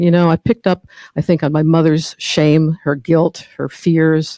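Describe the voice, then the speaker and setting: This woman speaks very deep and low, with a dark, mellow tone and fairly even intonation. Her pace is fairly slow, and the sound is dry and close with no echo. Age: 60s. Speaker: speaker at a spiritual study group. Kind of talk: personal testimony talk. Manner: halting, with fillers.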